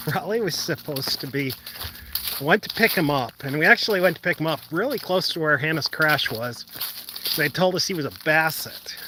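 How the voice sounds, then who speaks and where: A man with an American accent speaks at a fairly quick pace in a fairly high pitch, with ordinary pitch variation and noticeable background noise. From Western New York. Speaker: roadside safety advocate. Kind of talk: live stream Q&A while walking. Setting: outdoors, walking on a lakeside trail. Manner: casual, conversational with fillers.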